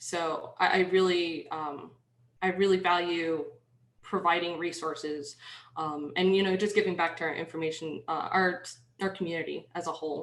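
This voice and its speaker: A woman with a fairly low pitch and a slight New York accent speaks at a moderate pace in a flat monotone, with audible room echo. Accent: slight New York accent, shows on some words. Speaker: penetration tester, conference workshop speaker. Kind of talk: workshop presentation. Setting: online video conference with screen share. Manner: dry, slightly sarcastic; hesitant, many fillers.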